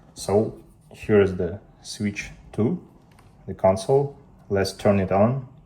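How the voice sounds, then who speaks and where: Very slow and somewhat breathy, a man speaks at a fairly low pitch in a dark, mellow tone, with fairly even intonation and long, frequent pauses. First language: Russian. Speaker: tech youtuber. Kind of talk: tutorial.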